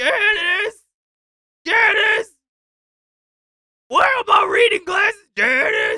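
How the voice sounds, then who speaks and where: Someone shouts in an extremely high, put-on character voice. The pace is very slow, with long, frequent pauses. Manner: querulous, forgetful.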